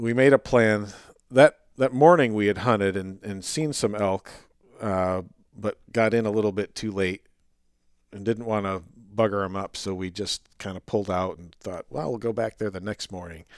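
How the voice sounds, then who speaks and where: A man with a plain, everyday voice speaks at a moderate pace in a fairly low pitch, with ordinary pitch variation, big swings in loudness, and a dry, close sound with no echo. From upstate New York. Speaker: wildlife biologist. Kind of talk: casual interview chat.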